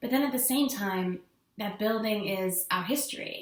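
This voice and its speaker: Pitch variation in this speech is ordinary. The pace is moderate. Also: woman. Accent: American. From mixed: South Africa, England, America. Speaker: vlogger. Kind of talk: personal vlog monologue. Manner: casual, conversational.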